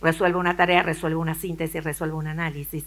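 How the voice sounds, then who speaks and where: A woman at a very fast pace with fairly low pitch, in a very clean recording with a silent background. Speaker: education researcher and lecturer. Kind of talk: conference talk. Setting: auditorium with audience.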